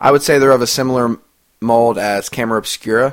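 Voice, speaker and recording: A man talks in a normal speaking voice at a medium pitch. The recording is very clean, with a silent background. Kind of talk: radio DJ patter introducing songs, casual music-podcast host banter. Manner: chatty, upbeat and conversational, with self-deprecating asides and laughs.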